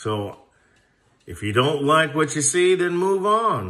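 A man talks with a bright, sharp tone. Behind him, the background is quiet. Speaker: airgun channel host. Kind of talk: casual vlog chat. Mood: relaxed, a bit defensive. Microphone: phone near.

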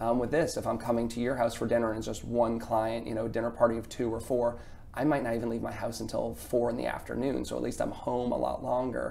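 A medium-pitched man at a very fast pace with hardly any pauses and fairly even intonation, amid audible room echo and noticeable background noise. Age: 40s. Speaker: chef and business owner. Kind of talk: interview.

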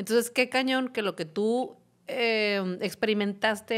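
A woman at a moderate pace, with fairly even intonation against a quiet background. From Mexico. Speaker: podcast host, parenting educator. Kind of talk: casual chat. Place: studio. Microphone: studio mic.

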